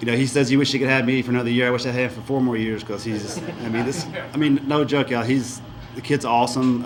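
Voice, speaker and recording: Over noticeable background noise, the speaker talks at a very fast pace in a monotone, flat intonation with a Southern US accent. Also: man. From US South. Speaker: high school football coach. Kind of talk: award speech.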